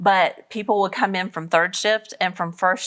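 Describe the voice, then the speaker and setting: A woman with a Southern US accent speaks at a fairly slow pace, her intonation fairly even. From US South. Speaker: author and speaker. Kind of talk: interview. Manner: casual, conversational.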